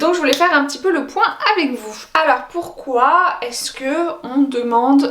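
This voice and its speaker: A high-pitched woman with ordinary pitch variation, audible room echo and noticeable background noise. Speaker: French as a foreign language teacher. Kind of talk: educational vlog. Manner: casual with hesitations.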